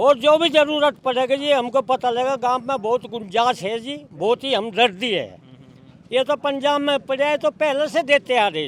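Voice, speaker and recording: This man's voice sits extremely high, with ordinary pitch variation and a dry, close sound that has no echo. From western Uttar Pradesh. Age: 70s. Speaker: villager. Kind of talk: interview.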